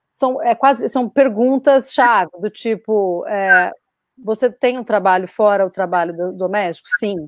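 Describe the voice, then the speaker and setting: A woman with an ordinary speaking voice, fairly high in pitch, with ordinary pitch variation, a dry sound with no echo and a quiet background. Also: fairly slow pace. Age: 30s. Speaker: actress and feminist activist; actress panelist. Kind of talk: panel discussion. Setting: video call. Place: home room.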